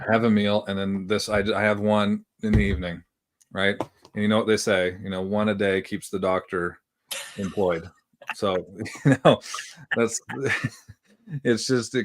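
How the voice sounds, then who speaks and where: A man with a fairly low pitch talks at a moderate pace with fairly even intonation and long, frequent pauses. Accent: Philadelphia. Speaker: podcast co-host, former professional athlete. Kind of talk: casual chat. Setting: livestream show.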